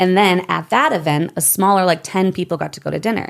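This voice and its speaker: A woman with an American accent talks at a fairly quick pace with ordinary pitch variation and some vocal fry. The recording is very clean, with a silent background. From Michigan, US. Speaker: network marketer. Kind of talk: interview. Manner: fast; animated.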